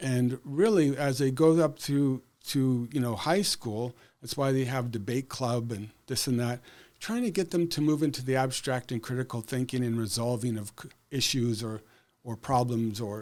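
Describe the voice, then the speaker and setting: A man with a Canadian accent uses a normal speaking voice at a medium pitch, a moderate pace and ordinary pitch variation. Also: very clean recording, silent background. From Saskatchewan, Canada. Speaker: school board candidate, educator. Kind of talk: interview.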